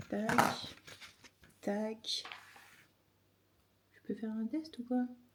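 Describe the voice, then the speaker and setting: Very slowly, a woman speaks at a fairly high pitch. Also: fairly even intonation. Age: 50s. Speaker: chronic illness vlogger. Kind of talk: casual vlog talk to camera.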